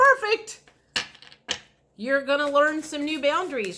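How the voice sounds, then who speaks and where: The woman talking uses lively intonation. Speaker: tarot reader. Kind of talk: tarot reading. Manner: slow; calm, relaxed.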